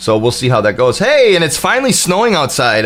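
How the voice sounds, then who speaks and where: Over noticeable background noise, a man speaks at a very fast pace. His tone is animated. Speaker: gaming streamer. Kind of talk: live gameplay commentary.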